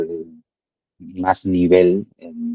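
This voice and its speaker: The sound is dry and close, with no echo. The tone is dark and mellow, and the intonation is monotone and flat. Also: man. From Spain, Madrid. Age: 60s. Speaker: amateur padel player, client testimonial. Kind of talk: testimony interview. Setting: call. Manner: halting, many fillers and repetitions.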